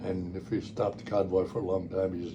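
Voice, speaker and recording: A man talks at a moderate pace in a very deep, low pitch. His intonation is fairly even, and audible room echo surrounds it. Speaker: war veteran. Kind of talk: oral history interview. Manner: halting.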